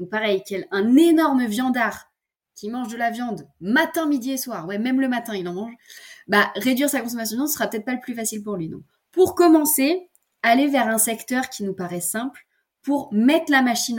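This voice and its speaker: At a moderate pace, a woman with a fairly high pitch uses lively intonation and big swings in loudness. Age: 20s. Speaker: eco-lifestyle content creator. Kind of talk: casual interview chat. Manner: hesitant, many fillers and repetitions.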